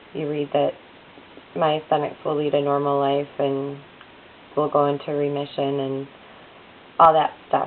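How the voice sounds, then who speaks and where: Monotone, flat intonation at a fairly slow pace, over noticeable background noise. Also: woman. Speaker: vlogger with chronic illness. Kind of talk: personal video diary. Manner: halting, many fillers.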